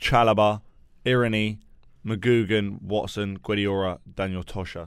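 A man talks with a normal speaking voice at a fairly low pitch. His pace is fairly slow. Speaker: podcast host. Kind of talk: casual chat. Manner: casual, conversational, fillers.

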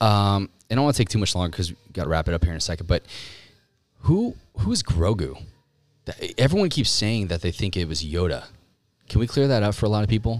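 Speaking at a very fast pace with an American accent, a man uses a fairly low pitch and lively intonation, broken by long, frequent pauses. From California, Orange County. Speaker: podcast host, clothing brand owner. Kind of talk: casual chat. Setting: studio. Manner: animated.

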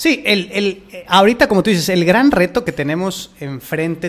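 This man talks in a Mexican accent with ordinary pitch variation. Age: 30s. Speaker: podcast host and fitness coach. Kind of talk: interview conversation. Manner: halting.

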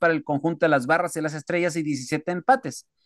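Dry, close sound with no echo from a man, over a quiet background. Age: 40s. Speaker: radio sports host. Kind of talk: sports talk radio.

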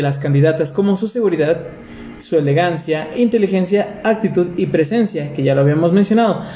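With a Mexican accent, a man speaks at a fairly quick pace and a high pitch, with ordinary pitch variation. There is noticeable background noise. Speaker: podcast host. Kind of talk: casual chat.

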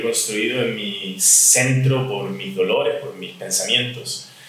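A man is speaking. The recording has noticeable background noise and audible room echo. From Chile. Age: 50s. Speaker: relationship coach. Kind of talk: interview.

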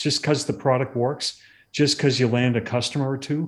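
Speaking at a moderate pace with fairly even intonation, a man has an unremarkable speaking voice and an American accent. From Massachusetts. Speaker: tech executive. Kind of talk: interview.

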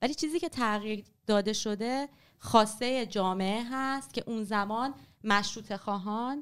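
The woman has an unremarkable speaking voice, fairly high in pitch with ordinary pitch variation. She speaks at a fairly slow pace in a very clean recording with a silent background. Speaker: writer and former journalist. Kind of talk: casual interview on history.

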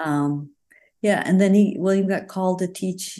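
A woman's fairly low voice in an Upper Midwest accent, at a moderate pace with fairly even intonation, against a quiet background. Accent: Upper Midwest American. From rural Wisconsin. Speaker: retired family physician. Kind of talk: casual interview.

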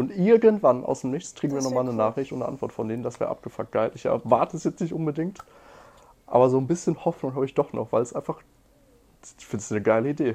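Talking at a very fast pace, a man uses a fairly high voice with a dark, mellow tone and lively intonation. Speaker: podcast co-host. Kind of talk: casual chat.

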